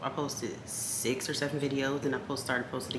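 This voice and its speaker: A woman whispers quietly at a fairly quick pace. Noticeable background noise and audible room echo surround her. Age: 30s. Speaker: lifestyle vlogger. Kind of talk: casual vlog chat. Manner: quiet, near whisper.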